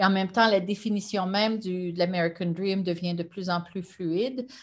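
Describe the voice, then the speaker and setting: A woman speaks in a plain, everyday voice at a moderate pace and medium pitch. Her intonation stays fairly even over a quiet background. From Quebec, Gatineau; Quebec. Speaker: sociology professor. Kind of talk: lecture. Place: home room. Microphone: webcam.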